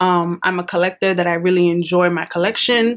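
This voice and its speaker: A woman talks at a medium pitch while noticeable background noise continues. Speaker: lifestyle and mental health vlogger. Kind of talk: casual vlog chat to camera. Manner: relaxed, chatty.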